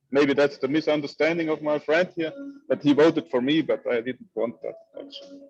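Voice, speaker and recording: Fairly even intonation and a fairly quick pace from a man with a fairly high pitch. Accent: German. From Italy, South Tyrol (Bolzano). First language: German. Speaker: community member, translator. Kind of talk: group video call discussion. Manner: halting.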